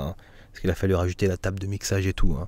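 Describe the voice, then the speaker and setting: Very deep and low in pitch, this man's voice has a dark, mellow tone. The sound is dry with no echo. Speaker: gaming YouTuber; flight sim streamer. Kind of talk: casual vlog monologue; casual vlog chat. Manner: hesitant, many fillers. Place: home room. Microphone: studio condenser mic; studio mic.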